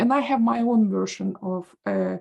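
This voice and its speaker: A woman with a Russian accent speaks at a fairly slow pace in a somewhat breathy voice. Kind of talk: audience question. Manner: halting.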